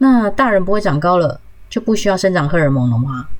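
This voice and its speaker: A woman's voice at a fairly quick pace, with very wide pitch swings. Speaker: podcast host. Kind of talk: solo health podcast talk.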